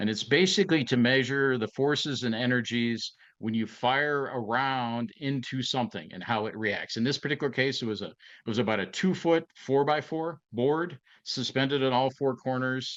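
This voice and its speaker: A man with an Ohio accent, medium pitch, ordinary pitch variation, and a moderate pace. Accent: Midwestern American (Ohio). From northeastern Ohio, near Youngstown. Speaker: retired FBI agent. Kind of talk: interview conversation. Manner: halting, many fillers and repeats.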